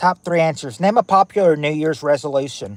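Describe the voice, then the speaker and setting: In a Tennessee accent, a man talks at a fairly quick pace with lively intonation, the sound dry and close with no echo. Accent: Tennessee-sounding Southern. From US South, Kentucky near Tennessee border. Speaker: livestream game host. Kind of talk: casual livestream chat. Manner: halting, self-correcting.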